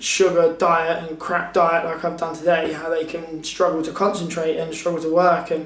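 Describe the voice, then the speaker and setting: A man talks at a high pitch with monotone, flat intonation. Audible room echo surrounds his voice. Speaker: vlogger. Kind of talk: casual vlog talk.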